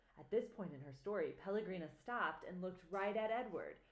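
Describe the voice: This is plain reading aloud. The clip contains nothing else of note.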